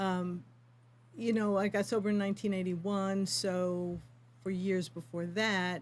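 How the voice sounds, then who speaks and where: A woman talks at a fairly slow pace in an unremarkable speaking voice, her pitch medium with ordinary variation. Her loudness stays very even. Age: 60s. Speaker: yoga teacher for addiction recovery. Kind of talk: interview.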